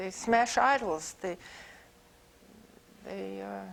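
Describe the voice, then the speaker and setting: With an American accent, a woman talks at a very slow pace. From US Midwest, Chicago. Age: 70s. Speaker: visiting artist. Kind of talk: lecture Q&A. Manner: halting, many repetitions; animated.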